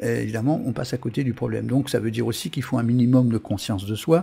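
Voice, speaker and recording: A man talks very fast in a somewhat breathy voice with a dark, mellow tone. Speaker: web TV host and karmic numerology coach. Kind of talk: live-streamed talk answering chat. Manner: hesitant with many fillers and repetitions.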